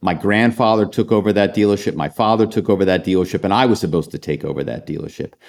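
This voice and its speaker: Talking at a very fast pace with hardly any pauses, a man with a fairly low voice and vocal fry shows ordinary pitch variation. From Philadelphia. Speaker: author and former corporate spy. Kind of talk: interview.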